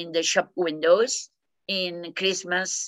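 A woman's voice at a medium pitch. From Argentina. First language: Spanish. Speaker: peace education scholar. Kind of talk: interview. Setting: video call. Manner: halting.

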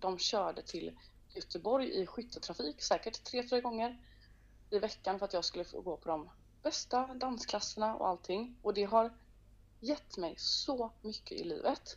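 A woman at a fairly slow pace, fairly high in pitch, with lively intonation. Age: 30s. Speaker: singer and entrepreneur. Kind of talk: casual interview chat. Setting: phone call. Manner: animated.

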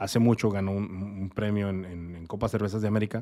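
Fairly quick pace from a man, very clean recording, silent background. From Mexico, Torreón, Coahuila. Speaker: craft brewer. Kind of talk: casual interview. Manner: halting.

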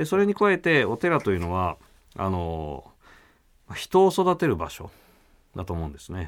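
A man speaks at a moderate pace with long, frequent pauses, in a very clean recording with a silent background. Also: big swings in loudness. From Kyoto. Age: 40s. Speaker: Zen Buddhist priest. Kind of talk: radio interview. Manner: polite formal.

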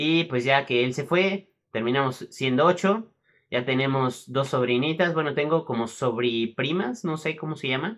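A man talks in a normal speaking voice at a fairly slow pace. His pitch is medium, with ordinary variation. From Mexico City. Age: 20s. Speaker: gaming youtuber. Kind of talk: casual personal storytelling monologue.

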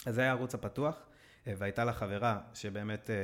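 Fairly even intonation in a very clean recording with a silent background. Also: man. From Israel (Netanya), adopted from Brazil as baby. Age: 30s. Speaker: fintech employee. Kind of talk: casual interview chat.

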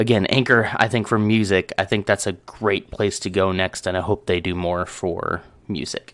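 A man with an unremarkable speaking voice talks at a fairly low pitch and moderate pace over a quiet background. His intonation is fairly even, with hardly any pauses. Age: 30s. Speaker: podcaster. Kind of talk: casual solo talk show monologue.

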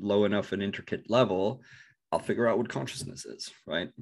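A man speaks in a Norwegian accent with a fairly low pitch and fairly even intonation. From northern Norway. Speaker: bitcoin researcher. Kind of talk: interview. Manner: halting, many fillers and repetitions.

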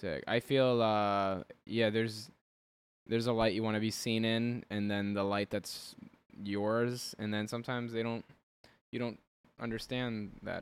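With an American accent, a man speaks at a medium pitch and fairly slow pace, in monotone, flat intonation broken by long, frequent pauses. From New Jersey, Elizabeth. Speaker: podcast host. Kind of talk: casual chat.

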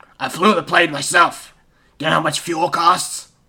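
A man puts on a raspy character voice, high-pitched and raised to project. He keeps a moderate pace in a monotone, flat intonation. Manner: angry, indignant.

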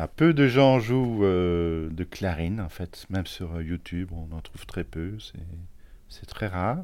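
Very deep and low in pitch, a man speaks at a very slow pace with ordinary pitch variation and big swings in loudness. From Belgium, Charleroi. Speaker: multi-instrumentalist musician. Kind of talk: interview testimony.

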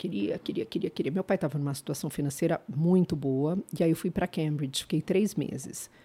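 A woman talks with lively intonation and a dark, mellow tone. The sound is dry and close, without echo. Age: 50s. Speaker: former judge and social media creator. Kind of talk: casual interview chat.

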